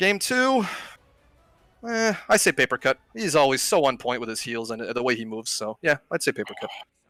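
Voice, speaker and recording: Loud speech at a fairly quick pace, dry and close with no echo, with music in the background. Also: man. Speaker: esports player. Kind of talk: post-match interview.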